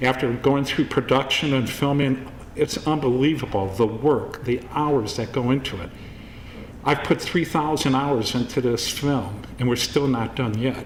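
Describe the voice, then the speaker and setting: A man's fairly slow speech is heard with noticeable background noise behind it. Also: medium pitch for a man, fairly even intonation. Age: 60s. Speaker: filmmaker. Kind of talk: award acceptance speech.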